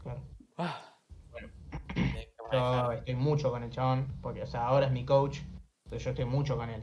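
A somewhat breathy man speaks with a Rioplatense accent in a monotone, flat intonation. He leaves long, frequent pauses, and room echo is audible. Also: medium pitch for a man. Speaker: streamer and taekwondo competitor. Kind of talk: casual chat.

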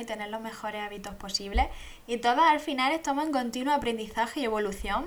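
Amid noticeable background noise, a woman talks at a very fast pace and a fairly high pitch. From Andalusia, Spain (Jaén province). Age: 20s. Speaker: podcast host. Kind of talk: casual monologue.

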